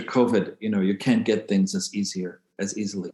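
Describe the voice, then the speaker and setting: This man has an ordinary speaking voice, fairly low in pitch, with ordinary pitch variation. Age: 60s. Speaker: spiritual healer. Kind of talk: casual interview chat.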